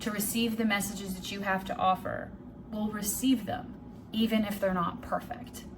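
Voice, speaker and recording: Music plays in the background and the room echo is audible as a woman speaks at a moderate pace and a medium pitch. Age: 30s. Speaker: vlogger and life coach. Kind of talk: casual vlog monologue. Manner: rambling; stuttering at times.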